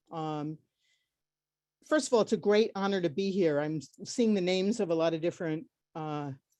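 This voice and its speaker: Her fairly low pitch and dark, mellow tone carry lively intonation as a woman speaks fairly quickly against a quiet background. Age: 70s. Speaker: panelist. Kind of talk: personal testimony. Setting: video call.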